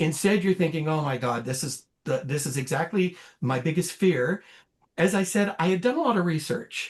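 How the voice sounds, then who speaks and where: This man has a high-pitched voice. His intonation is lively and his pace moderate. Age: 60s. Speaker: cancer survivor. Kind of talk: testimony. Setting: podcast interview. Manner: halting.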